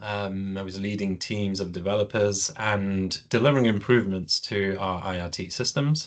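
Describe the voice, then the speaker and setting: Moderate pace with ordinary pitch variation. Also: man. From UK. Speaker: project management director. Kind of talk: webinar presentation. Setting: online webinar. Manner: hesitant, many fillers.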